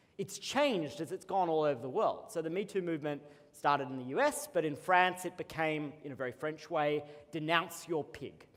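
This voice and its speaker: A man with an Australian accent talks at a fairly quick pace. His voice is fairly high in pitch with ordinary pitch variation. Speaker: co-founder and CEO, conference keynote speaker. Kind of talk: keynote speech. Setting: conference stage with audience.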